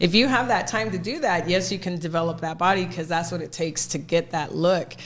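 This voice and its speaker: Amid noticeable background noise, a woman with an American accent speaks at a fairly quick pace, her fairly low pitch showing ordinary variation. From Texas, McAllen (Rio Grande Valley). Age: 40s. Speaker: personal trainer. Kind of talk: casual chat.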